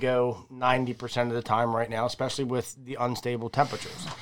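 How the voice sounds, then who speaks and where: The recording is very clean, with a silent background. A man speaks at medium pitch. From Maryland, Harford County. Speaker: fishing podcast co-host. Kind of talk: casual chat. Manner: animated.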